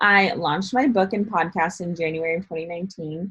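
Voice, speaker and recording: At a moderate pace, a woman speaks somewhat breathily at a fairly low pitch with fairly even intonation. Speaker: motivational speaker and digital marketer. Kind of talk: online training / tutorial. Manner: casual, filler-heavy (um, like).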